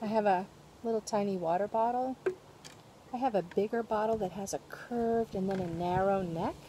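A woman with fairly even intonation, dry sound with no echo, and noticeable background noise. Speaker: presenter. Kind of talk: tutorial. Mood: cheerful, friendly. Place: garden. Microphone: phone near.

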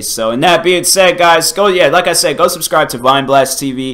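A man's bright, sharp voice at a moderate pace, with ordinary pitch variation. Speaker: YouTuber. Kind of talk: casual reaction vlog chat. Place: kitchen.

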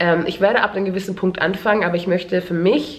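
A woman speaks very fast at a medium pitch, with noticeable background noise behind her. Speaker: beauty and lifestyle YouTuber. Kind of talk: casual vlog. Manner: halting, many fillers.

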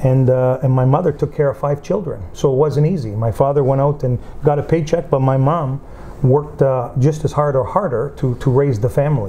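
A man speaks at a moderate pace with a fairly high pitch and ordinary pitch variation. His loudness stays very even over light background noise. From Windsor, Ontario, Canada; Calabrian parents; Ontario. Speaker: union leader and community figure; interviewee. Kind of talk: interview. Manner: halting, with fillers. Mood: earnest, reflective. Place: home room.

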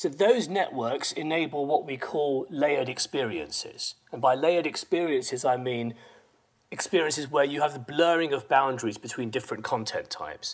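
A man speaks at a moderate pace, with ordinary pitch variation, against a quiet background. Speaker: strategy consultant. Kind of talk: presentation. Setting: stage with audience. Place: hall.

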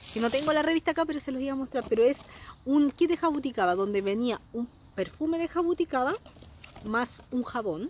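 A woman's high, animated voice with very wide pitch swings at a fairly quick pace, dry with no echo, over light background noise. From Chile. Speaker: beauty product sales consultant and vlogger; beauty product sales consultant, vlogger. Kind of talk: casual unboxing vlog. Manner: chatty, animated. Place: garden. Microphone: phone near.

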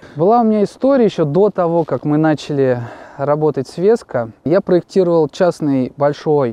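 This man talks at a moderate pace. The sound is dry, with no echo. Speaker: guest. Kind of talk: interview answer, storytelling. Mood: relaxed, amused anecdote. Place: open country.

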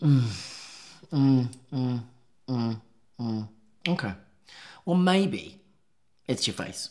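The surroundings are quiet. This man speaks very slowly. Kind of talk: scripted comedic dialogue. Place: office.

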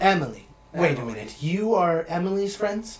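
A man speaks in a high-pitched, put-on character voice. His pace is moderate. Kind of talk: mock-archaic knightly speech. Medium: actual play. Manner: pompous, challenging.

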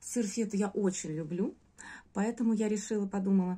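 A woman's dark, mellow, somewhat breathy voice at a fairly quick pace. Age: 40s. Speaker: course student giving a testimonial. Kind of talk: testimonial; casual testimonial talk. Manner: hesitant, with filler sounds. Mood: warm, grateful. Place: home room. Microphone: phone near.

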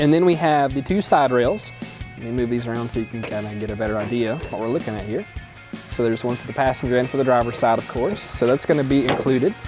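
Clear music plays in the background. Over it, a man talks at a very fast pace. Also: ordinary pitch variation. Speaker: presenter. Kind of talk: product tutorial. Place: garage. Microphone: lapel.

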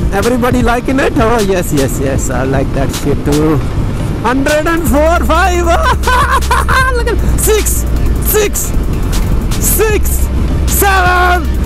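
Very slow speech with long, frequent pauses, a dry sound with no echo, and loud music in the background. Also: man. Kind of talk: casual ride commentary. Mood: excited, joking. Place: motorbike. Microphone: helmet.

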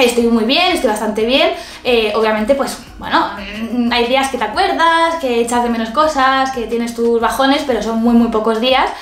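A woman at high pitch with ordinary pitch variation, moderate pace and audible room echo. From Spain. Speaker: beauty youtuber. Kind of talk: casual vlog talk to camera. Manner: animated. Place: home room.

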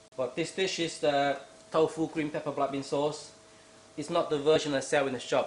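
The man talks at a moderate pace, and audible room echo surrounds his voice.

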